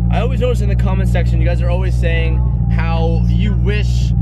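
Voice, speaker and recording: A man talking at a very fast pace, dry sound with no echo, music in the background. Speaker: car vlogger. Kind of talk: casual vlog chat. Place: car. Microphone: phone near.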